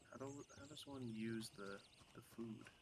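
A man with an American accent speaks at a medium pitch in a relaxed tone. His intonation is monotone and flat. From US Midwest. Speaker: gaming streamer. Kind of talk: casual gameplay chat. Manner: casual, relaxed.

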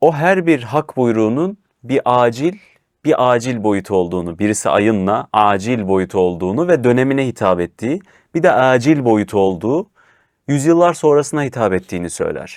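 Recorded very cleanly against a silent background, a man at medium pitch speaks at a moderate pace with very wide pitch swings, the sound dry and close with no echo. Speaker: show host. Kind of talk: religious discussion reading verses aloud.

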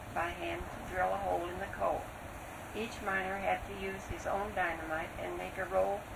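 Noticeable background noise surrounds a woman speaking at a moderate pace. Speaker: interviewee. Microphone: old recording.

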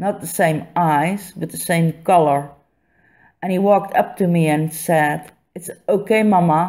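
In a Dutch accent, a woman speaks fairly slowly with fairly even intonation and a dark, mellow, fairly low voice, on a very clean recording with a silent background. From Netherlands. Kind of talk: reading a personal essay. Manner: a bit staccato.

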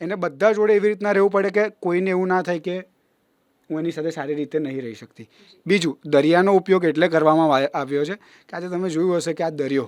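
Big swings in loudness run through a man's high-pitched voice, which has ordinary pitch variation. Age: 20s. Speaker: charitable trust president. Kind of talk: interview. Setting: studio.

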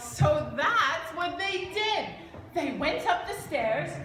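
A woman's high, fairly bright voice with lively intonation and audible room echo.

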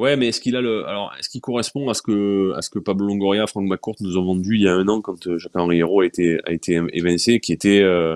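A normal speaking voice from a man, fairly low in pitch, with ordinary pitch variation, a fairly quick pace and hardly any pauses over a quiet background. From France, Marseille. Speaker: sports journalist. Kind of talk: casual chat. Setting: video stream. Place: home room. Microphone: earbuds.

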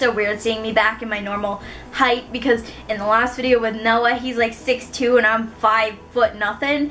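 Over light background noise, a woman speaks in a flat monotone. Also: moderate pace. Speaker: book vlogger. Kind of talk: casual vlog chat. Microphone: camera far.

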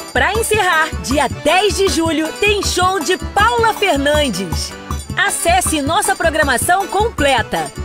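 A woman speaks very slowly while clear music plays in the background. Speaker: voice-over announcer. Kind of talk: TV commercial read. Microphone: studio mic.

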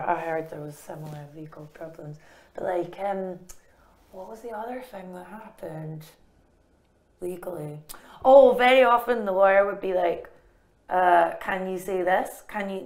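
Over a quiet background, a woman with a Scottish accent speaks with ordinary pitch variation and big swings in loudness. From Scotland. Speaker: comedian and author. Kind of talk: interview answer. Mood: wry, humorous storytelling. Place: studio.

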